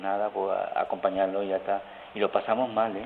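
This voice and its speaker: A man talks with an Andalusian accent. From rural Seville province, Andalusia. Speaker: friar. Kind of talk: phone interview. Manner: halting.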